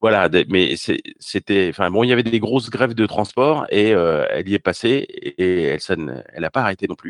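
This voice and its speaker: A man uses a normal speaking voice with lively intonation and a fairly low pitch. He talks at a moderate pace. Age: 50s. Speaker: tech professional and podcaster. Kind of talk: casual interview.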